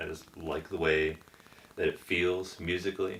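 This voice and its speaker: Over noticeable background noise, a man with an American accent speaks quietly in a monotone, flat way. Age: 40s. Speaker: rock band member. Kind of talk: casual interview chat.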